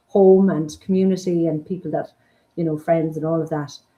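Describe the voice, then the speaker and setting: A woman with an Irish accent has a dark, mellow tone at a fairly low pitch. Her intonation stays monotone and flat. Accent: Irish (Mayo). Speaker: forest school founder and principal. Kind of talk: interview.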